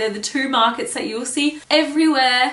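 A woman speaks in a raised, projected voice. Audible room echo surrounds her. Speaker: travel vlogger. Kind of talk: casual vlog chat. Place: home room.

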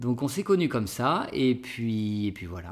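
Lively intonation from a male speaker, set against a quiet background. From France, Bordeaux; France. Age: 30s. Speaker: French teacher, YouTuber; French teacher, vlogger. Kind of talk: casual Q&A vlog. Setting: outdoors, public garden. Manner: hesitant, with fillers. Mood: relaxed, friendly. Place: home room.

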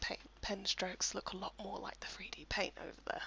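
Someone whispers at a moderate pace. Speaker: software tutorial presenter. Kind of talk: screen-recorded software tutorial voice-over. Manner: casual, lightly humorous.

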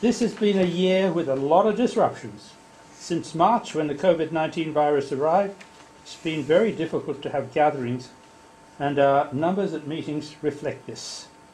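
A man with an Australian accent speaks at a fairly high pitch with ordinary pitch variation. His loudness swings widely over light background noise. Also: moderate pace. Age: old. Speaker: society officer; society office bearer giving report. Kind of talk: meeting report. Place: meeting room. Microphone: camera far.

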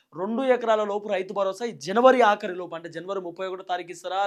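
Using fairly even intonation, a man with a Telangana accent speaks at a high pitch. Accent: Telangana Telugu. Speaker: YouTube news commentator. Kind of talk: political commentary monologue.

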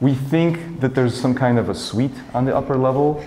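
A man talks with fairly even intonation. Light background noise can be heard. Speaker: photography vlogger. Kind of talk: casual vlog chat. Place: hall. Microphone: camera far.

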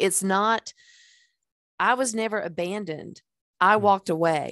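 A woman's medium-pitched voice with ordinary pitch variation, dry with no echo, over a quiet background. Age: 60s. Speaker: podcast host and life coach; podcast host or guest. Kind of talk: casual interview chat. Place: home room. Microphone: headset.

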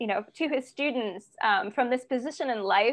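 A woman speaks with a high pitch. The background is quiet. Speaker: class instructor. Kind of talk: lecture introduction. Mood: enthusiastic, occasional laughs. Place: home room. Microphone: video call.

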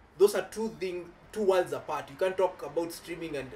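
A man talks fairly quickly while music runs underneath. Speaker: tech youtuber. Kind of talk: casual chat; angry rant. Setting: video recording. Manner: fired up, indignant, emphatic. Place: home room.

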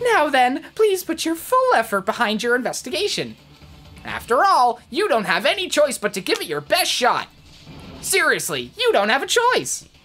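This is a put-on character voice with a high pitch. It moves at a moderate pace over faint music in the background. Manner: mockingly cheerful, menacing.

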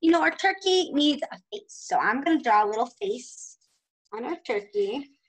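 Her pitch swings very widely as a woman talks at a moderate pace. The background is quiet. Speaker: preschool teacher. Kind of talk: remote lesson for young children. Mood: warm, encouraging. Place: classroom. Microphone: webcam.

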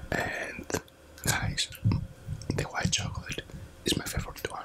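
A woman whispers. Her pace is fairly slow. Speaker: ASMR mukbang creator. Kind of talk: ASMR eating talk to camera. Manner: soft-spoken, whispering. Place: home room. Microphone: studio mic.

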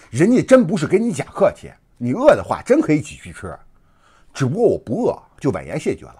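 A man at a fairly quick pace, with big swings in loudness, over a quiet background. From mainland China. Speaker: online commentator. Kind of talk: casual monologue. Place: home room.

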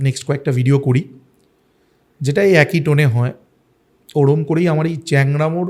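A man with a fairly high pitch speaks in an unremarkable speaking voice at very even loudness. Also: fairly even intonation. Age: middle-aged. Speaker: food and travel vlogger. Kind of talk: podcast interview.

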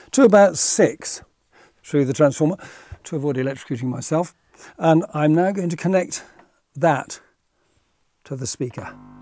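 A man speaks at a moderate pace with ordinary pitch variation and long, frequent pauses, the sound dry with no echo and music playing in the background. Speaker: presenter. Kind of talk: tutorial. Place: studio. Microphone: lapel.

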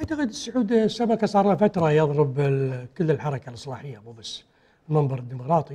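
A man with a fairly high pitch and a dark, mellow tone talks at a fairly quick pace against a quiet background. His pitch swings very widely and his loudness rises and falls sharply. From Kuwait. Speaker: politician, party secretary-general; politician. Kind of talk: political TV interview. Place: studio. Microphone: lapel.

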